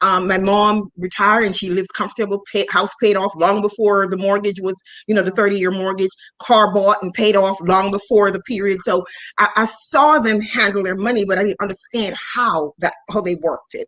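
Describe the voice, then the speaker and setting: Talking at a fairly quick pace, a woman uses an ordinary speaking voice of medium pitch with fairly even intonation. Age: 50s. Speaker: finance podcast host. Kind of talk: casual interview chat.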